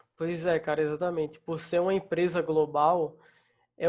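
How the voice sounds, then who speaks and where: A man with a slight northeastern Brazilian accent, fairly high in pitch, monotone and flat in intonation. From Northeast Brazil. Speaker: front-end developer. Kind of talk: casual interview.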